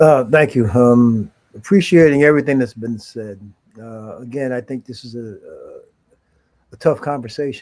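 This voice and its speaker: Speaking in an unremarkable speaking voice, a man keeps a moderate pace and ordinary pitch variation. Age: 60s. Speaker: community member. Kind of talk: panel discussion.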